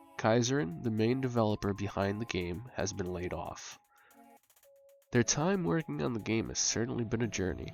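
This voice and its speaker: Music plays in the background as a man talks at a moderate pace with a fairly low pitch. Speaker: gaming video creator. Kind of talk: video essay narration.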